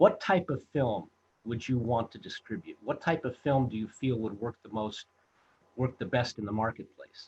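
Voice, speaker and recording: A man speaks at a moderate pace in a medium pitch, with ordinary pitch variation. His voice is somewhat breathy and shows big swings in loudness. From Los Angeles, US. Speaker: film director and producer. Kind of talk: interview storytelling. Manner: halting, many fillers.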